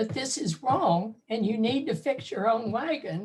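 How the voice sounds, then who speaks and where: A somewhat breathy woman at a fairly high pitch with lively intonation. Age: 70s. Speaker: audience member. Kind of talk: casual chat.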